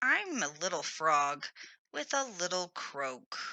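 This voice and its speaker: This put-on character voice sounds female, raspy and squeaky, sitting at a middle pitch and moving at a fairly slow pace. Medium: read story.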